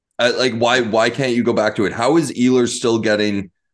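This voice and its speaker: A man with an ordinary speaking voice talks at a fairly slow pace and medium pitch, with ordinary pitch variation, over a quiet background. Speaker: podcast co-host. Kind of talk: casual sports podcast chat.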